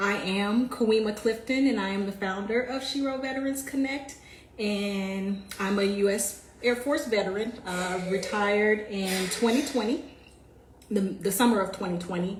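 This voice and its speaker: Over noticeable background noise and audible room echo, a woman with an American accent speaks at a moderate pace and medium pitch with ordinary pitch variation. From US South, Jacksonville, Florida. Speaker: military veteran, community founder. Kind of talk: livestream talk about her background. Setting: live video stream. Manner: casual, conversational.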